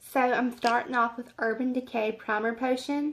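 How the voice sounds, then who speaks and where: A woman with an American accent talks at a fairly high pitch. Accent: southern US, stronger when speaking slowly. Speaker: beauty vlogger. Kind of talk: makeup tutorial. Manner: casual, rambling with fillers.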